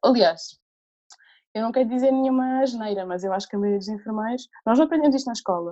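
A woman at a very fast pace, fairly high in pitch with ordinary pitch variation. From Portugal, Alentejo. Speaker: menstrual cycle educator, nurse. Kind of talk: casual interview conversation.

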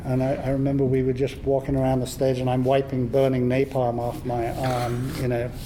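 A man with an English accent talks at a fairly quick pace, at a medium pitch with a monotone, flat intonation. The recording has audible room echo and noticeable background noise. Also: hardly any pauses. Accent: English accent, still noticeable. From southern England (Watford, Hertfordshire). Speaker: film visual effects artist and cinematographer. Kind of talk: convention panel interview. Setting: stage with audience.

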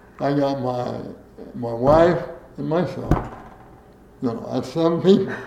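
With an American accent, a man talks at a fairly slow pace and a fairly high pitch. Long, frequent pauses break up his speech over noticeable background noise. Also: ordinary pitch variation. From US Midwest. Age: 80s. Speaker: former state legislator, veteran, interviewee. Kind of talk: oral history interview. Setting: interview at his home.

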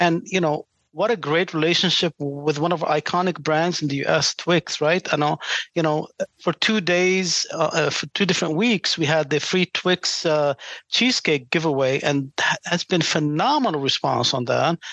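The speaker has an Arabic accent. The pace is moderate. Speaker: franchising executive. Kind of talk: interview.

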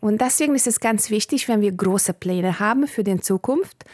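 A woman with a Bulgarian accent at a moderate pace, ordinary pitch variation, a dry, close sound with no echo, and a very clean recording with a silent background. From Hungary. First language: Bulgarian (speaking German). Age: 40s. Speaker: politician. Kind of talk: interview.

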